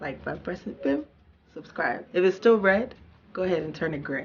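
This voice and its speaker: Noticeable background noise sits behind a woman with a Texan accent, whose fairly low pitch carries an animated tone. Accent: Texan American English. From Houston, Texas, US. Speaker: YouTuber. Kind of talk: casual vlog monologue.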